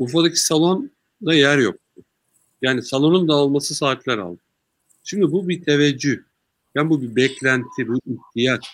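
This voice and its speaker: Moderate-paced talk from a man, fairly high in pitch, with ordinary pitch variation. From Turkey, Sakarya. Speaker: party official and businessman. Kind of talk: interview. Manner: calm.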